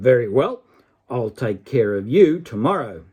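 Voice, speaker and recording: Putting on a growling character voice, a man speaks at medium pitch and a moderate pace. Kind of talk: storytelling. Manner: nasty, growling.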